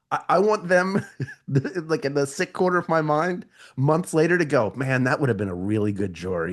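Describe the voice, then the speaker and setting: A man's voice swings very widely in pitch and carries vocal fry. The background is quiet. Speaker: voice actor and podcaster. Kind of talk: casual unscripted podcast conversation. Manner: animated, self-deprecating storytelling.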